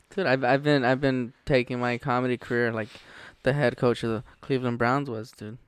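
At a fairly quick pace, a man speaks with a medium pitch and fairly even intonation in a plain, everyday voice. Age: 20s. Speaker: stand-up comedian. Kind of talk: casual chat.

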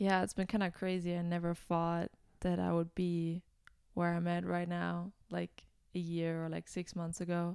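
A woman with a German accent speaks at a moderate pace and a fairly low pitch, with monotone, flat intonation, in a very clean recording with a silent background and a dry, close sound with no echo. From Germany. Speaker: college student and gravel cyclist. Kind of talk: casual interview.

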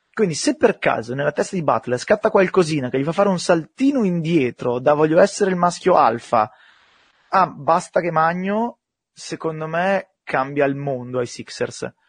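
The sound is dry and close with no echo, over a quiet background. A man speaks with a high pitch and lively intonation. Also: moderate pace. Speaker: podcast host. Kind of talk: casual chat about basketball.

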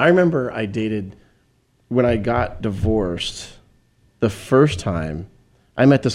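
A man with a fairly low voice sounds animated. His pitch swings very widely. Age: 50s. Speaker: podcast co-host. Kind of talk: casual chat.

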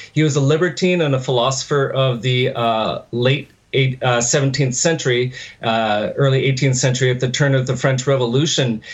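This man's voice sits at a medium pitch and comes out somewhat breathy. He keeps a moderate pace, fairly even intonation and very even loudness. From Ottawa, Canada. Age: 40s. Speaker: metal musician, music theory academic.

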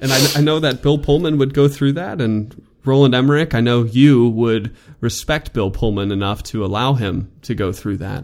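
A man with an ordinary speaking voice talks at a moderate pace, his pitch medium and its variation ordinary. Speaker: podcast host. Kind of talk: casual chat.

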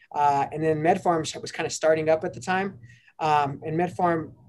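This man has a fairly high pitch and an American accent. His voice is somewhat breathy, with ordinary pitch variation. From Denver, Colorado (north Denver). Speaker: cannabis company executive. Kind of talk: casual interview. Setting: video call.

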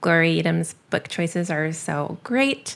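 At a moderate pace, a woman with an ordinary speaking voice talks at a fairly low pitch. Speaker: podcast company founder. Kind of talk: casual co-curator discussion.

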